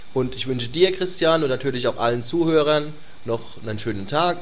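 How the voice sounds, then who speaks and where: A fairly high-pitched man at a fairly quick pace, with ordinary pitch variation, audible room echo and noticeable background noise. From Germany, northern Palatinate. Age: 20s. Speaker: forum user. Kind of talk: interview. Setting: remote call from home couch.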